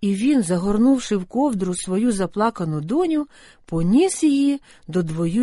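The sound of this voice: An unforced reading voice delivers the text. Lively intonation shapes each line.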